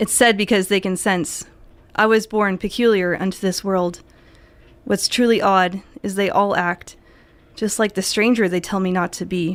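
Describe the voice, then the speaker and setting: A woman with an American accent speaks at a moderate pace and medium pitch, her intonation fairly even, with long, frequent pauses. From US Midwest. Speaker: poet. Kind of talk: poetry reading. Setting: radio studio.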